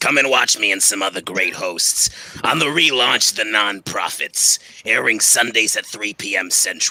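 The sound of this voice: A raspy, put-on character voice at a moderate pace. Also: man, medium pitch for a man.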